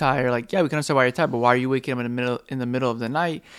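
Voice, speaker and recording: A man talks in a medium pitch, his intonation fairly even, on a very clean recording with a silent background. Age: 20s. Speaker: podcast co-host, father. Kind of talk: casual chat.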